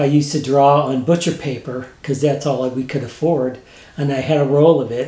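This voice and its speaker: With a Midwestern American accent, a man with a fairly high pitch speaks at a moderate pace in a monotone, flat intonation. His somewhat breathy voice has a dark, mellow tone, and audible room echo surrounds it. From Missouri, St. Louis area; Missouri. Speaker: retired graphic designer, painter; interviewee. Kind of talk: interview. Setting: home studio. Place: home room.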